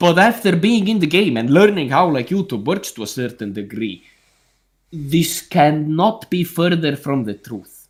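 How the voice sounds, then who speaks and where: A man speaks with an Estonian accent at a fairly slow pace. His pitch swings very widely. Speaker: calisthenics YouTuber. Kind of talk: casual chat. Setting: group video call livestream. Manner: animated.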